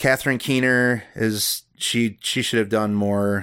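A man's ordinary speaking voice, fairly slow, with fairly even intonation. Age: 30s. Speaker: horror podcast co-host. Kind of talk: casual chat.

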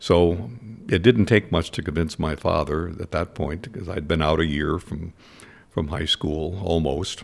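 A man talks at a fairly slow pace. His pitch is very deep and low. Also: ordinary pitch variation. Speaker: war veteran and former state legislator. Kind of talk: interview. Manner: halting.

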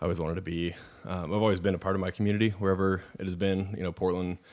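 A man talks at a very fast pace in a monotone, flat intonation, captured in a very clean recording with a silent background. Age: 30s. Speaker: wine shop manager. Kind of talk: casual chat.

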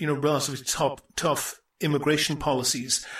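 A man talks at a moderate pace in a plain, everyday voice. His pitch sits fairly high. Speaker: podcast host. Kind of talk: interview questions.

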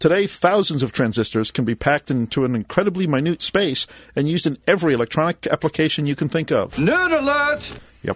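A man talks very fast with lively intonation. His voice sits fairly high. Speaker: co-host. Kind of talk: casual tech chat.

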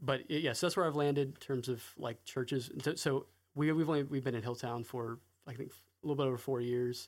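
A man with an American accent speaks at a fairly quick pace in a medium pitch, his intonation fairly even, on a very clean recording with a silent background. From US South, North Carolina. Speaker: recovering addict sharing testimony. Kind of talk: testimony. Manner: halting.

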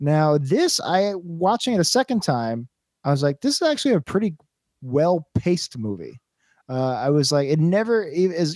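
A man with an American accent speaks high, his pitch swinging very widely. The recording is very clean and dry, close with no echo, over a silent background. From Brooklyn, New York. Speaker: podcast host. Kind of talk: casual chat. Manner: fast talker.

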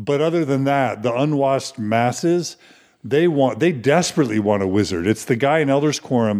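At a fairly quick pace, a man talks at a medium pitch in an unremarkable speaking voice, his intonation lively and his loudness very even. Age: middle-aged. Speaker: podcast interviewer. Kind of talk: interview conversation.

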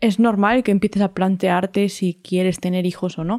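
A woman speaks fairly quickly in a dark, mellow tone with fairly even intonation. The recording is very clean, with a silent background. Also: dry, close sound with no echo. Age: 30s. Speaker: podcast co-host. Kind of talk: casual chat.

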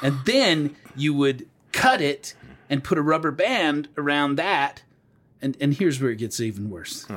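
Over music in the background, a man with a fairly high pitch talks in a playful tone at a fairly slow pace, using ordinary pitch variation. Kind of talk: casual chat. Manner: loud and playful, joking.

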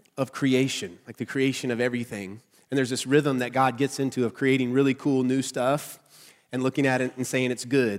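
Male speech in a Southern US accent, medium pitch, monotone, flat intonation, fairly quick pace. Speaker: pastor giving a sermon. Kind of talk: casual, conversational preaching. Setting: church service.

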